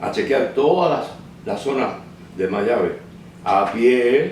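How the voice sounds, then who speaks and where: The intonation is lively, with noticeable background noise and audible room echo. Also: man. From Cuba, Holguín province. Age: 70s. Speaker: documentary filmmaker. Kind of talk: interview testimony. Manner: halting, with fillers and repetitions.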